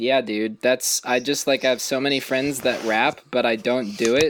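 An ordinary speaking voice moves at a fairly quick pace. The intonation stays fairly even. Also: man. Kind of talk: casual chat. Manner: joking.

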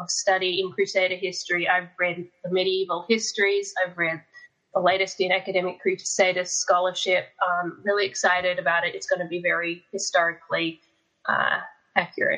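Speaking with an Australian accent, a woman talks at a moderate pace in a medium pitch. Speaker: fiction author. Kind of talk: casual chat. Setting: video call.

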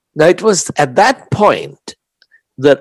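A man with an Indian accent speaks at a very slow pace with vocal fry. The sound is dry and close, with no echo. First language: Hindi. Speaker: author. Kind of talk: interview.

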